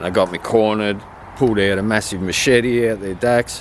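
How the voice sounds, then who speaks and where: The man's intonation stays fairly even as he talks with an Australian accent. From Australia, Victoria. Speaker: vlogger telling life story. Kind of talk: personal testimony. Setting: outdoors at old high school. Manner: casual, filler-heavy.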